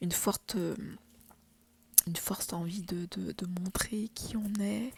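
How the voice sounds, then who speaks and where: Soft-spoken and somewhat breathy, a woman talks at a very slow pace with fairly even intonation. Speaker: tarot reader. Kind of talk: tarot reading. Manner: halting.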